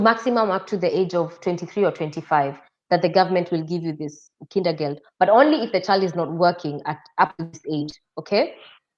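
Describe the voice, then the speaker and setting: Against a quiet background, a woman with a Kenyan accent speaks at medium pitch, with ordinary pitch variation and a moderate pace. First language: Kikuyu. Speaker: interview guest. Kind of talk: interview.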